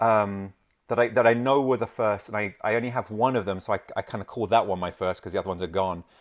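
In a very clean recording with a silent background, a man with a London accent speaks at a very fast pace and a fairly low pitch with fairly even intonation. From London, England. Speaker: original comic art rep. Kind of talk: casual chat.

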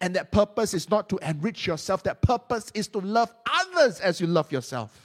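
A man speaks at a moderate pace, his pitch swinging very widely. The sound is dry and close, with no echo. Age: 30s. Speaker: preacher. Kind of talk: sermon. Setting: church with congregation. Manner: hesitant, many fillers.

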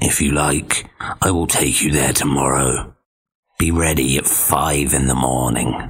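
A man puts on a character voice, growling and raspy. His pitch is very deep and low. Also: fairly slow pace. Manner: feigning friendliness.

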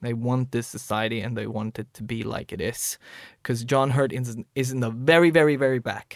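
A man speaks in a Swedish accent at a moderate pace. His pitch is medium, and his intonation is fairly even. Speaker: podcast co-host. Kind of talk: casual chat.

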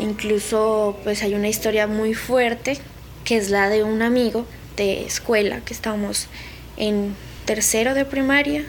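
A woman's fairly high voice at a fairly slow pace, with fairly even intonation over noticeable background noise. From Colombia, Nariño. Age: 20s. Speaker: conflict survivor, student. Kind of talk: testimony.

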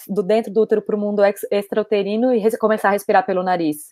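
A woman's fairly high voice, dark and mellow in tone, very fast, with a dry, close sound and no echo. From Brazil, São Paulo. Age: 20s. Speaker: doula. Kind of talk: casual interview. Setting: video call.

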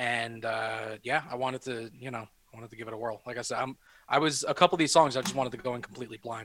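With vocal fry and big swings in loudness, a man talks at a very fast pace, his medium-pitched voice keeping fairly even intonation. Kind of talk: casual chat, swearing freely. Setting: video call from home. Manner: relaxed, rambling, conversational.

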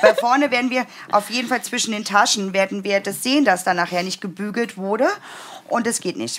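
The speaker talks at a fairly quick pace with a slight Berlin accent, leaving long, frequent pauses. Pitch variation is ordinary, and background noise is noticeable. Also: woman. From Brandenburg, eastern Germany. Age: 40s. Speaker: sewing pattern designer. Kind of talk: casual chat; sewing tutorial. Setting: livestream.

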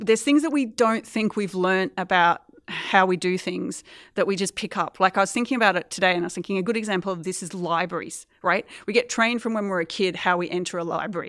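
Very fast speech from a woman with an Australian accent, ordinary pitch variation, on a very clean recording with a silent background. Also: medium pitch for a woman. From Australia, Queensland. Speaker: environmental historian and lecturer. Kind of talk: interview.

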